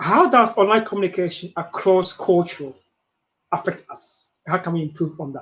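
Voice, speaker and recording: With a Ghanaian accent, a man talks at a moderate pace and high pitch, with ordinary pitch variation and big swings in loudness. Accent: Ghanaian accent, still present. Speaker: webinar host, coach. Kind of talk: interview conversation. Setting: live video webinar.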